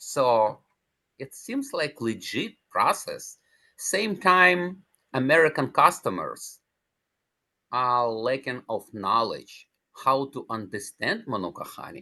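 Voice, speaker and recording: Against a quiet background, a man with a non-native accent speaks at a very slow pace with long, frequent pauses. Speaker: cancer survivor, natural healing advocate. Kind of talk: interview. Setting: podcast.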